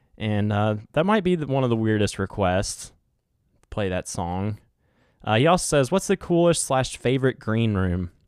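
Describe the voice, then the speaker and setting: This man speaks at a moderate pace in a medium pitch with a West Virginia accent, his pitch swinging very widely. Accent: West Virginia twang. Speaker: podcast host. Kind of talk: casual solo podcast chat.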